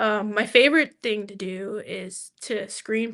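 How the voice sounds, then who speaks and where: The woman's voice has a bright, sharp tone. Her pitch is fairly high, over a quiet background. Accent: American. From New York. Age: 30s. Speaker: livestreamer and artist. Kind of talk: casual chat. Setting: livestream. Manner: casual, filler-heavy.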